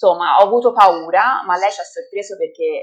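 A woman's ordinary speaking voice at a moderate pace, with ordinary pitch variation. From Italy, Livorno (Tuscany). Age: 30s. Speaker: mother of twins sharing her birth story. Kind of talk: interview testimony.

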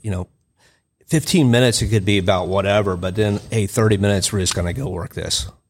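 A man with an American accent speaks in a normal speaking voice, his pitch fairly low and its variation ordinary. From Texas. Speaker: combatives instructor, retired police officer and Marine. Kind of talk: casual chat. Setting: studio.

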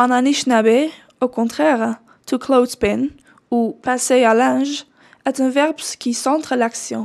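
In a Dutch accent, a woman speaks very slowly in a high voice with ordinary pitch variation. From Netherlands. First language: Dutch (speaking French). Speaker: doctoral researcher. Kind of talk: scripted narration.

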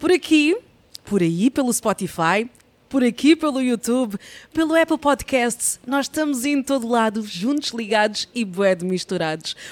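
A woman's high voice with very wide pitch swings, fairly slow in pace, with a dry, close sound and no echo. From Angola. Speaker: podcast host. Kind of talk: show intro; casual interview chat. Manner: animated.

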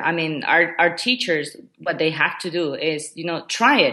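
Speaking fairly slowly in a Spanish accent, a woman has a fairly low pitch and a bright, sharp tone over a quiet background. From Ecuador. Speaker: education technology coordinator. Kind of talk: interview. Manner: hesitant, many fillers.

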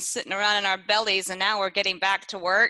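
A woman's bright, sharp tone in a Texan accent. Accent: Texan Southern US. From East Texas. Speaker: podcast co-host. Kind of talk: casual chat. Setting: studio.

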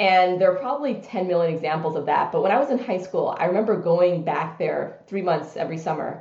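Audible room echo carries a woman's somewhat breathy voice in an American accent. She talks at a fairly quick pace with a medium pitch and ordinary pitch variation. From US, New York City (Brooklyn). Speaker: business executive. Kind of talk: interview.

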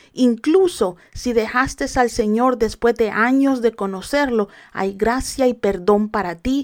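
A woman speaks at a fairly high pitch and a fairly slow pace with ordinary pitch variation, on a very clean recording with a silent background. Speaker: podcast preacher. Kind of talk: sermon.

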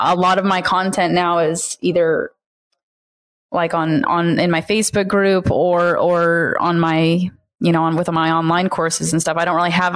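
Speaking at a moderate pace with fairly even intonation, a woman has a fairly low pitch and an ordinary speaking voice. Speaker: automotive sales trainer. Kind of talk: casual interview chat.

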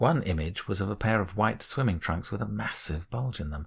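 Lively intonation in an unforced reading voice

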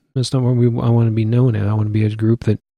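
Somewhat breathy, a man with a Midwestern US accent speaks in a dark, mellow tone. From Iowa City, Iowa. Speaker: church elder, Air Force veteran. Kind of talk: casual interview.

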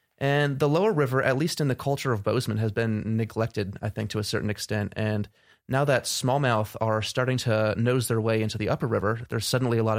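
An unremarkable speaking voice moves at a fairly quick pace with fairly even intonation, on a very clean recording with a silent background. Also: man. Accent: American. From New Jersey, US. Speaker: ecology graduate student. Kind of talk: interview.

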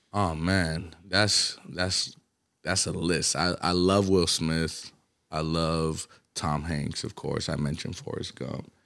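The speaker has an Atlanta accent and fairly even intonation, going at a very slow pace. The recording is very clean, with a silent background. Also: man, very deep, low pitch for a man. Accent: Atlanta hip-hop American English. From US South, Atlanta (born in Colombia). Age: 20s. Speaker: rapper. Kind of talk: casual chat.

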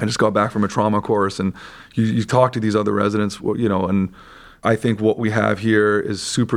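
A man with a western Canadian accent speaks at a fairly quick pace in a fairly low pitch, with monotone, flat intonation and vocal fry. The recording is very clean, with a silent background. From Vancouver, Canada. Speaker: surgical resident. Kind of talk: casual interview.

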